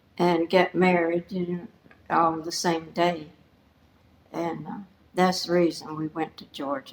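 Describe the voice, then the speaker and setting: A woman with a Southern US accent speaks at a fairly low pitch in a monotone, flat intonation. She moves at a fairly slow pace with long, frequent pauses, over noticeable background noise. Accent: Southern American. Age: 80s+. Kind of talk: interview answer. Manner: quiet.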